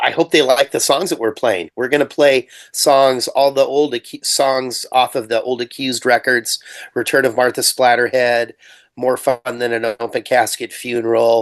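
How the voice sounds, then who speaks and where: Here is a man with a normal speaking voice at medium pitch. He talks at a moderate pace with fairly even intonation. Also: dry, close sound with no echo. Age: 60s. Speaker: punk metal musician. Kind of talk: interview.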